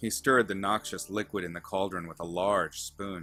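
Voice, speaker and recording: Over music in the background, a man with a fairly low pitch speaks at a moderate pace with fairly even intonation. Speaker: author reading own fiction. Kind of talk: fantasy story narration.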